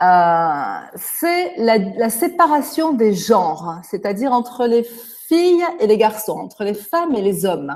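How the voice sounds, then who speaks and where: With very wide pitch swings, a woman talks very slowly in a fairly high voice. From France. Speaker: native French speaker interviewed by students. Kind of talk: interview answers. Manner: hesitant, with fillers.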